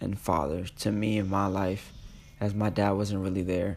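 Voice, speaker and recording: This man has a fairly low pitch. He speaks at a moderate pace. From New York, the Bronx. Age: 20s. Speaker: podcast host. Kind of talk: casual solo podcast monologue.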